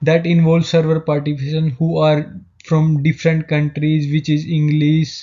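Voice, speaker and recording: The speaker keeps a moderate pace. The voice has an Indian accent. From India, Haryana. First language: Hindi. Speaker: student. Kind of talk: class presentation. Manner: halting.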